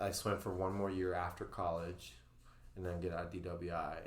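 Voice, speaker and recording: Audible room echo surrounds a man speaking at a very deep, low pitch in a flat monotone. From Venezuela. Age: 30s. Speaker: swim and CrossFit coach. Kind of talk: podcast interview. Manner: halting.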